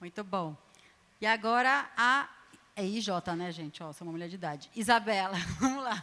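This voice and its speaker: With lively intonation and a bright, sharp tone, the speaker moves at a moderate pace, leaving long, frequent pauses and making big swings in loudness. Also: woman, medium pitch for a woman. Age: 40s. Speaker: panel moderator, programming initiative founder. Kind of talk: moderated panel discussion. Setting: stage with live audience.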